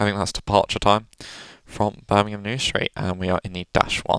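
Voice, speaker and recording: In a British accent, a man speaks at a fairly low pitch, recorded with a dry, close sound and no echo. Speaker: gaming video creator. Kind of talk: gameplay commentary. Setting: home recording room. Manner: casual, chatty.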